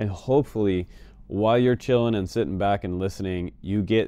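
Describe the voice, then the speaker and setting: A man speaks with a very deep, low pitch and ordinary pitch variation. The sound is dry, with no echo. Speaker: FPV drone service host. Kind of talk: casual advice vlog. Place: home room.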